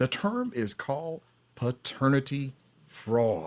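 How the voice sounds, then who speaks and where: Speaking with a Southern US accent, a man lets his pitch swing very widely. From US South, Atlanta, Georgia. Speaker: paternity fraud advocate and author. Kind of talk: live stream interview.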